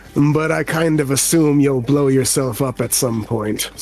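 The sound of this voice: A gruff, put-on character voice from a man, medium pitch, moderate pace, very even loudness, light background noise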